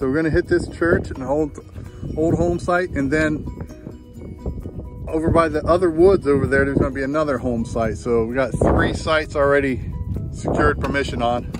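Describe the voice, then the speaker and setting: A man at a fairly quick pace with ordinary pitch variation, dry sound with no echo, and clear music in the background. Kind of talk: casual vlog chat. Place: open country. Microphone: phone near.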